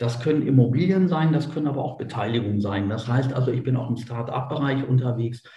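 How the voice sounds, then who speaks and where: Over noticeable background noise, a man talks at a very fast pace with hardly any pauses in a medium pitch. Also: ordinary pitch variation. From Germany, Göttingen. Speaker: businessman. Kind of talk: interview.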